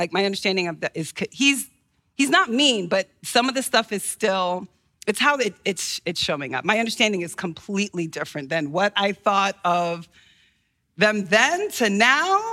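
Lively intonation marks a plain, everyday voice at a moderate pace. The recording is very clean with a silent background and a dry, close sound with no echo. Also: woman, medium pitch for a woman. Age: 30s. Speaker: church member reading audience questions. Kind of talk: reading aloud. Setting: church.

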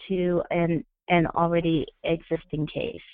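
A woman speaks at a fairly slow pace. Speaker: equine sports therapist. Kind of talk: expert Q&A on live webinar. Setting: phone call. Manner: halting, frequent repetitions.

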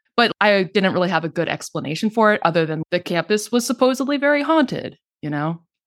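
Very fast and with very wide pitch swings, a woman speaks at medium pitch in an American accent. The sound is dry and close, with no echo. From Texas, Denton County (North Texas). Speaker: podcaster and paranormal history researcher. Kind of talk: interview, casual chat.

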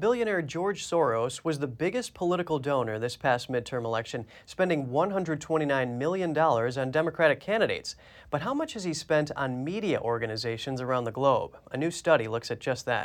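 Talking at a moderate pace with hardly any pauses, a man with a fairly high voice uses lively intonation in an ordinary speaking voice. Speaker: news anchor. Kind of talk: news reading. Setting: studio.

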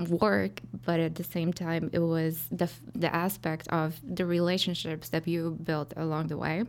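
Over music in the background, a woman speaks at a fairly slow pace with fairly low pitch. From Poland. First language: Polish. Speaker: title company account executive. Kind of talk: interview.

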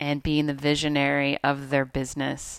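A woman speaks with a very deep, low pitch at a fairly slow pace. The sound is dry and close, with no echo. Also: very clean recording, silent background. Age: 30s. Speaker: pelvic health physical therapist and podcast co-host. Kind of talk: casual chat.

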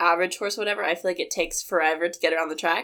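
A woman talks at a very fast pace in a bright, sharp tone with fairly even intonation. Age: 20s. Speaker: assistant horse trainer. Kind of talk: casual interview. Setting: hotel room recording, sitting apart.

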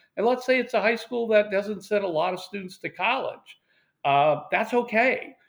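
An American accent marks this man's high-pitched voice. He talks at a moderate pace with ordinary pitch variation. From US West Coast, Portland, Oregon. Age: 60s. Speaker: retired university admissions administrator. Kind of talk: interview.

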